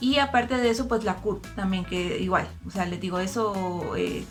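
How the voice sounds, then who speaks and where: Music sounds in the background. Over it, a female voice talks. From Costa Rica. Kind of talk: casual talk to camera.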